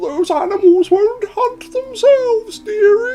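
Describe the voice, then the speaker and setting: This man uses a put-on character voice. He delivers it at a fairly slow pace. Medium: game stream. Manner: folksy, calls others dearie.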